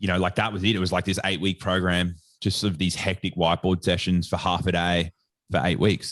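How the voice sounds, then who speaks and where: A man with an Australian accent speaks fairly quickly at a very deep, low pitch in a flat monotone. The sound is dry and close with no echo, over a quiet background. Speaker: sports nutritionist and educator. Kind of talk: podcast interview. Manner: casual, filler-heavy.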